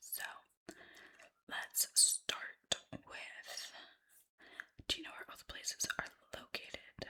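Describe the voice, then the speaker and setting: A woman is whispering. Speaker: ASMR creator playing a travel agent. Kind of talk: ASMR roleplay, friendly conversational talk to a customer. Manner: warm, friendly, chatty.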